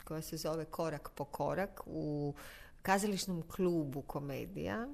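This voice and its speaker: A normal speaking voice with lively intonation and a fairly slow pace. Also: woman. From Zagreb, Croatia. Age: 50s. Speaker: actress and singer. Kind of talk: casual interview.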